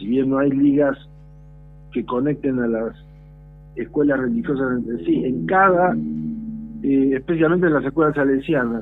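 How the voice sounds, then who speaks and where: Noticeable background noise sits behind a man with a fairly high pitch. He uses lively intonation and takes long, frequent pauses. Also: moderate pace. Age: 60s. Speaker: historian and professor. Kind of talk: radio interview. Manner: talkative, many fillers.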